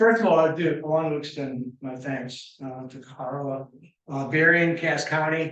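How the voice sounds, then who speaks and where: A man talks with a US Midwestern accent. His intonation stays fairly even. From western Michigan, US Midwest. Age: 70s. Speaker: environmental engineer and guest speaker. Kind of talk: public lecture. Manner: halting, many fillers.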